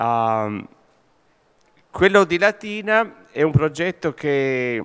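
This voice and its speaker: A man with a fairly high voice and lively intonation speaks against a quiet background. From Italy. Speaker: conference moderator. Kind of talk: panel moderation. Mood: warm, animated. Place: hall. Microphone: podium.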